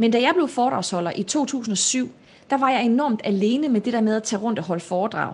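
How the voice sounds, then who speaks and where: A woman is speaking. Her pitch sits fairly high for a woman. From Denmark, North and South Jutland. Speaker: public speaker and entrepreneur. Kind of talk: live-streamed interview.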